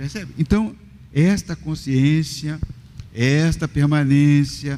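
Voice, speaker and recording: A fairly high male voice with a dark, mellow tone. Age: 60s. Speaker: pastor. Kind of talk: podcast interview with preaching. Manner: animated.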